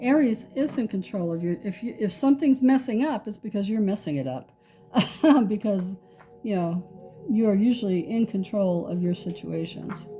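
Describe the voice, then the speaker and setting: Over music in the background, a woman at medium pitch talks at a moderate pace with lively intonation. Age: 60s. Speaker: tarot reader. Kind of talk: tarot reading. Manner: casual, conversational.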